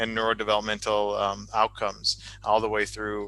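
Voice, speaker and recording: A man talks at a medium pitch in a bright, sharp tone. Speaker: talk show host, doctor. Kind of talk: live-streamed interview. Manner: fast.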